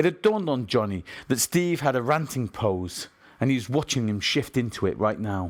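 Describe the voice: The text is read aloud plainly. Its intonation moves in a lively way.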